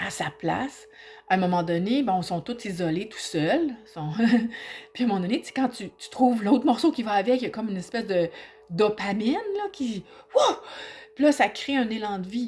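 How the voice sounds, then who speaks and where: With music in the background, a woman with a Quebec accent and a fairly high voice speaks at a moderate pace, using lively intonation, big swings in loudness and long, frequent pauses. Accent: Québécois French. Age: 50s. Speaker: aspiring hypnotherapist and personal growth vlogger. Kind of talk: personal reflective vlog. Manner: halting, with repetitions; spontaneous, informal.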